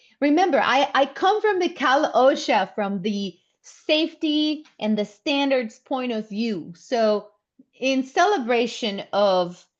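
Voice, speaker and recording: Against a quiet background, a woman with a non-native accent talks at a very slow pace and a high pitch, with very wide pitch swings. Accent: foreign accent in English. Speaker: workplace safety trainer. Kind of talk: webinar presentation. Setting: online webinar.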